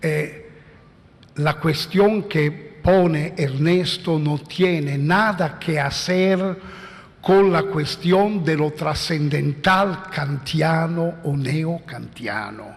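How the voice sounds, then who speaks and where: A man with an Italian accent speaks at a very slow pace and a fairly high pitch. There is noticeable background noise and audible room echo. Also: ordinary pitch variation. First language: Italian (speaking Spanish). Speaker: philosopher. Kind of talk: conference talk. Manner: halting.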